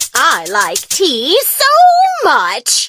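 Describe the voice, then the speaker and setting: Over faint background music, someone performs a put-on character voice at a fairly high pitch. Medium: machinima. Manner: bright, short exclamations.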